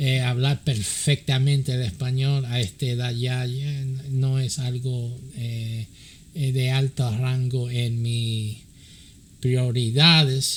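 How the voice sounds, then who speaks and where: A man with a medium pitch speaks at a very slow pace in a somewhat breathy voice with monotone, flat intonation. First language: English (speaking Spanish). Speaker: pastor and church counselor. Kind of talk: religious teaching. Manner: halting, many fillers.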